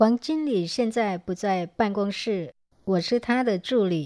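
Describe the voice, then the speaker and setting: Against a quiet background, a woman speaks in an unremarkable speaking voice. Her pitch is fairly high, with ordinary variation. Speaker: language teacher. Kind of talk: language lesson.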